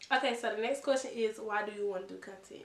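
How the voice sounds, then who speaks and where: A woman's fairly high voice at a fairly quick pace, with ordinary pitch variation and audible room echo. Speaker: vlogger. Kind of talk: casual Q&A vlog. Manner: soft-spoken; casual, filler-heavy.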